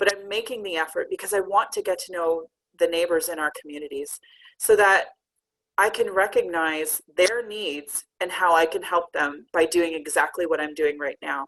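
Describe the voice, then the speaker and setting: A woman with a Canadian accent speaks at a moderate pace, her pitch fairly low and her pitch variation ordinary. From Canada. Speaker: community outreach coach and speaker. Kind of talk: talk presentation. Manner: loud.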